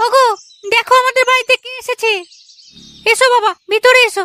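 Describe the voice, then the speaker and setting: A woman uses a cartoonish character voice pitched extremely high. She keeps a moderate pace with monotone, flat intonation. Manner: warm but nagging.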